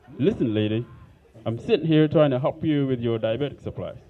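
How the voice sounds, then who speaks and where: A man with an African accent, medium pitch, ordinary pitch variation and a fairly quick pace. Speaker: stand-up comedian. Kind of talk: stand-up. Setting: comedy club stage with audience.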